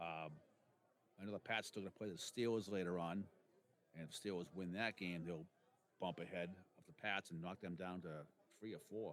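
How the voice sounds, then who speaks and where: With a Boston accent, a man with a very deep, low voice talks at a fairly quick pace, leaving long, frequent pauses and keeping his intonation fairly even. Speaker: sports podcast co-host. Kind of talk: casual sports chat.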